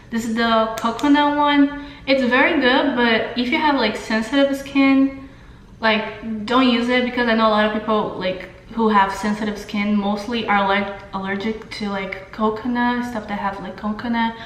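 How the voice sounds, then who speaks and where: A woman's fairly high voice in a Brazilian Portuguese accent, at a moderate pace with ordinary pitch variation, with audible room echo and noticeable background noise. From Brazil, São Paulo. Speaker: beauty vlogger. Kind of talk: casual makeup tutorial and Q&A. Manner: hesitant, many fillers.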